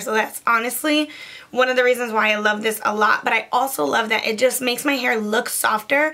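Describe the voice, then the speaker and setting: Over noticeable background noise, a woman speaks at a moderate pace and a fairly high pitch. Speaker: beauty vlogger. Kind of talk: casual product review. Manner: casual, chatty.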